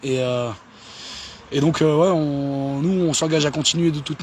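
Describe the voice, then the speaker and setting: A man speaks at a moderate pace with fairly even intonation. Noticeable background noise runs under his voice. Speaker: activist. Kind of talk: casual livestream chat. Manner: halting, many hesitations.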